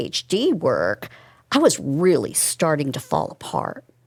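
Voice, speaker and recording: In a very clean recording with a silent background, a woman with a normal speaking voice talks fairly slowly at a fairly low pitch. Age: 60s. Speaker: immunotoxicologist. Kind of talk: interview.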